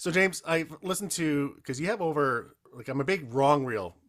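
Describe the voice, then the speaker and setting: In a very clean recording with a silent background, a man speaks with a Canadian accent. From rural Canada. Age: 40s. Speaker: podcast host. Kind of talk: casual interview chat.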